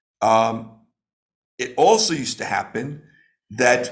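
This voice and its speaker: Male speech in a room with audible echo. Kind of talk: lecture. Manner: slow, deliberate; halting, many fillers.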